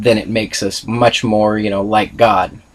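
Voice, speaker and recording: A man's monotone, flat delivery. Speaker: student presenter. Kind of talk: class presentation read from notes. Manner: hesitant, stuttering.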